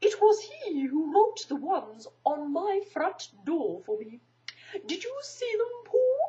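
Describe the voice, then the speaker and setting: A put-on character voice at a fairly slow pace. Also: woman, extremely high pitch for a woman. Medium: read story. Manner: pompous, wordy.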